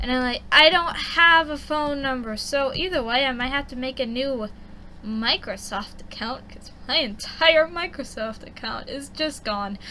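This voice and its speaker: A woman's high-pitched voice at a fairly slow pace, with noticeable background noise. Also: ordinary pitch variation, big swings in loudness. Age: young. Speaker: artist streaming a drawing session. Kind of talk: casual chat while drawing. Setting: at home, baby asleep nearby. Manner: quiet, close to the mic.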